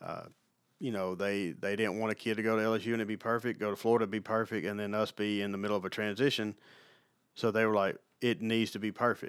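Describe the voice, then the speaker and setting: On a very clean recording with a silent background, a man with an Alabama accent talks very fast at a fairly low pitch, his intonation monotone and flat. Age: 40s. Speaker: sports turf manager. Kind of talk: casual interview. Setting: on campus, recorded on the road.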